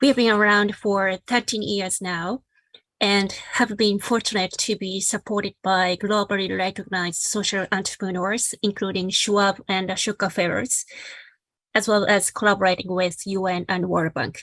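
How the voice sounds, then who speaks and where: Heard in a very clean recording with a silent background, the speaker talks at a moderate pace with a Japanese accent and monotone, flat intonation. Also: woman, medium pitch for a woman. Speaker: social entrepreneur, sport for development founder. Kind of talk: panel presentation.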